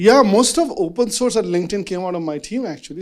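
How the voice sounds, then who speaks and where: A man talks with very wide pitch swings. The recording is very clean, with a silent background. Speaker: venture capitalist moderating a panel. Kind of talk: fireside chat moderation. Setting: stage with live audience at a meetup. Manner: loud; casual, filler-heavy.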